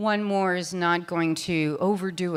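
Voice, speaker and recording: Her pitch fairly low and her intonation fairly even, a woman is talking. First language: French. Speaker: conference speaker. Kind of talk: conference talk Q&A. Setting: stage with audience. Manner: casual, filler-heavy.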